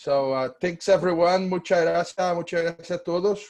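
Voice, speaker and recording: A man with a Portuguese accent, a high pitch and ordinary pitch variation, over a quiet background. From Brazil, Curitiba. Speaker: law professor. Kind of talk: conference presentation.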